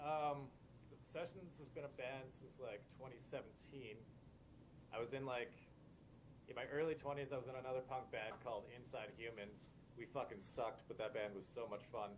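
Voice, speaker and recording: A man with a Canadian accent, medium pitch and somewhat breathy voice, at a moderate pace with ordinary pitch variation and long, frequent pauses. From Alberta, Canada (Lethbridge). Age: 30s. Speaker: punk band bassist. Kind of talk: casual chat.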